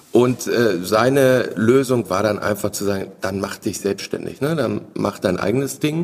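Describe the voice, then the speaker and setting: Fairly slow, medium-pitched speech from a man in a plain, everyday voice, with ordinary pitch variation. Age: 40s. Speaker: family business owner. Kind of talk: interview. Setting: company premises.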